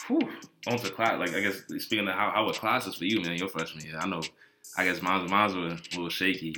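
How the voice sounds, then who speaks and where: A man with a very deep, low voice and an American accent, very fast speech, fairly even intonation, and noticeable background noise. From Washington DC. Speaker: college student. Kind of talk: casual chat, welcome talk to freshmen. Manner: monotone, laid back.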